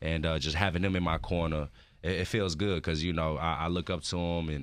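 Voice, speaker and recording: A man with an American accent speaks at a fairly quick pace in a very deep, low voice with monotone, flat intonation. His loudness is very even, and the recording is very clean with a silent background. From Houston, Texas. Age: 20s. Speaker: professional wrestler. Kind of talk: radio interview. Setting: radio studio. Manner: casual, relaxed.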